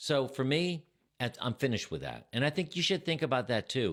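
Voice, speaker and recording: A man speaks with vocal fry. The recording is very clean, with a silent background. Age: 60s. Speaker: retiree vlogger. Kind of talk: personal talk to camera.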